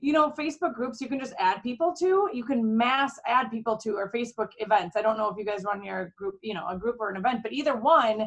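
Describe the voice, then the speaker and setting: Very fast, lively-intoned speech in a Minnesotan accent, with hardly any pauses. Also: woman, fairly high pitch for a woman. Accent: Minnesota. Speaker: direct sales executive. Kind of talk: team training call. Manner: casual, chatty.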